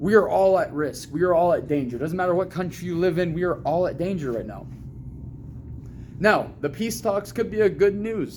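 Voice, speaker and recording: Loud and high-pitched, a man with an American accent talks at a fairly quick pace with lively intonation. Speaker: video commentator. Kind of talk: casual opinion monologue. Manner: animated.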